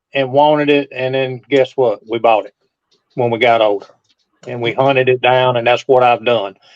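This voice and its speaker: A man talks in an ordinary speaking voice. His pitch sits in the middle range, and his intonation is fairly level. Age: 60s. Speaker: model car collector. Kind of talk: casual chat.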